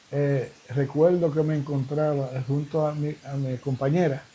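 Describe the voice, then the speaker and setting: Fairly high in pitch, a man speaks with monotone, flat intonation. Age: 70s. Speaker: evangelist preacher. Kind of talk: interview. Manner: halting.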